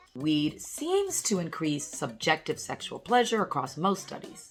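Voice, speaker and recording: A woman with an upbeat tone at a fairly slow pace, music in the background. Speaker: urologist, medical educator. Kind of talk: educational talk to camera on health. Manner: upbeat, casual, conversational.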